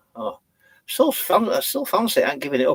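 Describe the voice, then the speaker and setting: In a Yorkshire accent, a man talks at a fairly quick pace, the sound dry and close with no echo. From Yorkshire, England (born in Leeds). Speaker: vlogger. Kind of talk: live stream chat. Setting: in a campervan. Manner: halting, many fillers.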